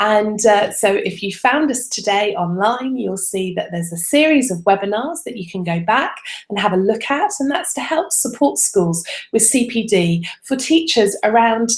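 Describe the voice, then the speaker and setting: A woman with an English accent speaks at a moderate pace with lively intonation. Noticeable background noise is present. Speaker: religious education advisor. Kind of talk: webinar presentation. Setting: online video broadcast. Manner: soft; hesitant, many fillers.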